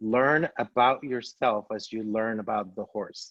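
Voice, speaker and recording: A man speaks with a Spanish accent. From Spain, Seville (Andalusia). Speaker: travel guide. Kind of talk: presentation.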